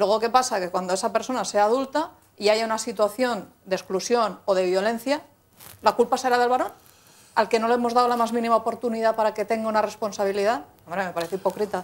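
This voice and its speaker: Her speech comes at a very fast pace. The woman's fairly high voice shows ordinary pitch variation. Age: 40s. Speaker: local politician. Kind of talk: TV panel debate. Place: studio. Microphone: lapel.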